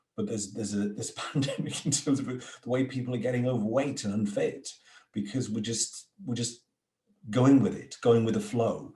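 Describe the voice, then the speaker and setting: With a dark, mellow tone, a man speaks in a somewhat breathy voice at a moderate pace with ordinary pitch variation. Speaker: podcast host. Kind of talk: interview conversation.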